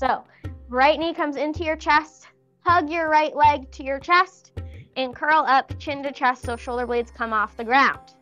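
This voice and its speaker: Faint music sits in the background. Over it, a woman talks. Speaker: fitness instructor. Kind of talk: exercise class instruction. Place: empty room.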